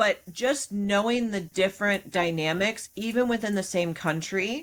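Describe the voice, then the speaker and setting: A woman talks at a fairly slow pace in a Midwestern US accent. The recording is very clean, with a silent background. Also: medium pitch for a woman, ordinary pitch variation. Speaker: podcast co-host and business owner. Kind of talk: casual podcast discussion.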